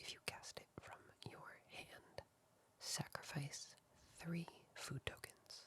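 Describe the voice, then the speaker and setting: The speaker whispers at a very slow pace. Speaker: ASMR content creator. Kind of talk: ASMR card deck showcase, slow card reading. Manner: soft-spoken, slow.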